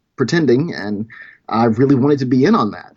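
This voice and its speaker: A man's medium-pitched voice at a fairly quick pace, with ordinary pitch variation. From US South, rural Louisiana. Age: 40s. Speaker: short film producer. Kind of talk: casual interview storytelling. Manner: hesitant, with fillers.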